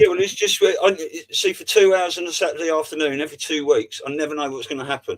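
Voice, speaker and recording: The speech moves at a very fast pace. Its loudness swings widely. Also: man. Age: 50s. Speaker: livestream host. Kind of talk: casual chat. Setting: video call.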